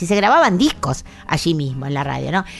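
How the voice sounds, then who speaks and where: Over noticeable background noise, a woman with an Argentine accent talks at a fairly quick pace with lively intonation. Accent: Rioplatense Argentine Spanish. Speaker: radio host. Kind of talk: radio music program chat and interview. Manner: warm, conversational.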